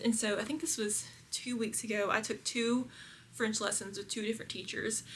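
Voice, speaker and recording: A woman speaks with a Southern US accent. Her voice is fairly high-pitched. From Kentucky, US South. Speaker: lifestyle vlogger. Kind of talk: casual vlog chat. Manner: animated.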